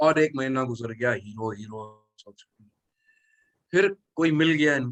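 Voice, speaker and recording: A man at medium pitch speaks with lively intonation and big swings in loudness. He takes long, frequent pauses. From Mumbai, India. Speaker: actor. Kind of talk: interview. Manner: halting.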